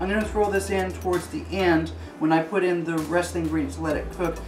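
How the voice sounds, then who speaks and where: A man speaking over music in the background. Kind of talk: tutorial. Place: kitchen.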